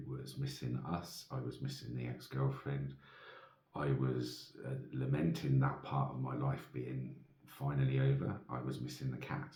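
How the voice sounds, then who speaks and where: Soft-spoken, a man talks at a moderate pace with audible room echo around him. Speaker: vlogger. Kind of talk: casual monologue. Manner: hesitant.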